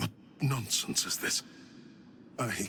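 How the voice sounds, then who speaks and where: Against clear background noise, a man puts on a raspy character voice at a medium pitch. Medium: video game. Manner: zealous, commanding.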